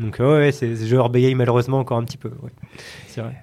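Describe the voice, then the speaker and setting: Over noticeable background noise, a man speaks fairly quickly at a medium pitch with monotone, flat intonation. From Paris region, France. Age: 30s. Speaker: tech company CEO. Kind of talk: interview conversation. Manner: halting.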